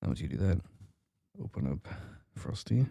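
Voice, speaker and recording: Soft-spoken and fairly low-pitched, a man talks at a moderate pace in a dark, mellow tone with vocal fry. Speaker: modding tutorial creator. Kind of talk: tutorial. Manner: quiet, soft-spoken; hesitant with fillers.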